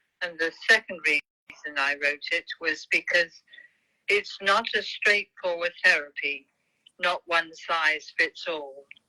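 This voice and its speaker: Speaking very slowly in a British accent, a woman has a fairly low pitch with ordinary pitch variation. The sound is dry and close, with no echo. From UK. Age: 70s. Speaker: author, teacher, Parkinson patient. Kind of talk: interview.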